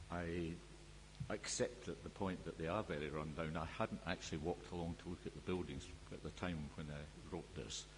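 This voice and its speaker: Very deep, low male voice with vocal fry, lively intonation and a moderate pace. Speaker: expert witness at a planning inquiry. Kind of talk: inquiry evidence and cross-examination. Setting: public inquiry hearing room. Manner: loud; formal.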